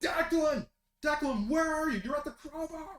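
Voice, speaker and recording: Putting on a character voice in a raised, projected voice, a man speaks at a moderate pace with an extremely high pitch. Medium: actual play. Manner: urgent, frantic.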